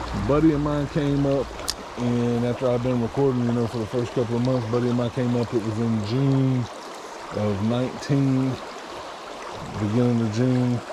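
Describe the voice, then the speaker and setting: A man mumbles at a moderate pace and medium pitch, in a monotone, flat intonation with long, frequent pauses. Audible room echo and noticeable background noise surround him. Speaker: fishing vlogger. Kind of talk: casual outdoor vlog narration. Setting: outdoors by a stream. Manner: mumbling.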